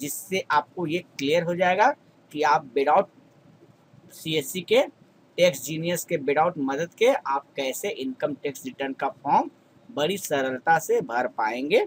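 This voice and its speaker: Lively intonation marks a man's fairly high voice, captured with a dry, close sound and no echo. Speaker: YouTube tutorial creator. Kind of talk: tutorial.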